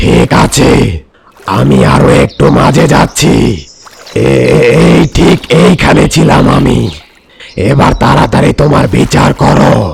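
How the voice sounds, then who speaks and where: In a cartoonish character voice, a man speaks very slowly with a very deep, low pitch. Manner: greedy, impatient.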